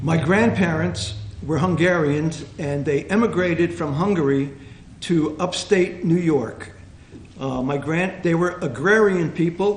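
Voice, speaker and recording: A man with an American accent speaks fairly slowly at a fairly high pitch. His pitch varies in an ordinary way, and room echo is audible. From New Jersey, Hope Lawn area. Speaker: panel guest sharing local history. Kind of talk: reminiscing talk to audience. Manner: halting, many fillers.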